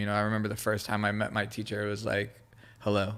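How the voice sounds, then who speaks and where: A man with a Southern California accent has a bright, sharp tone at a fairly low pitch. The recording is very clean, with a silent background. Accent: Southern California American English. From Israel, raised in Los Angeles area. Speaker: creative director and graffiti artist. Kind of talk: casual podcast interview.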